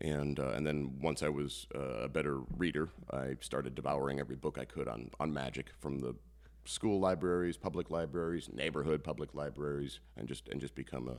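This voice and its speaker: A man speaks fairly quickly in an American accent, his pitch very deep and low with ordinary variation. Vocal fry runs through his voice. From northeast Iowa, US Midwest. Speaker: comedian-magician. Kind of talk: casual interview chat. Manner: halting, many fillers.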